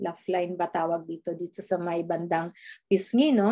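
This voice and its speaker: In a quiet setting, a woman is talking. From Philippines. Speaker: skincare distributor; presenter. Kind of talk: sales presentation. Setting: screen-share video presentation. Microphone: video call.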